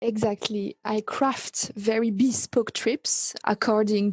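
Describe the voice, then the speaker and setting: Somewhat breathy and dark, mellow in tone, a woman with a French accent speaks at a medium pitch in a dry, close sound with no echo. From France, near Paris. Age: 30s. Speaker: travel agency owner. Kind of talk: podcast interview.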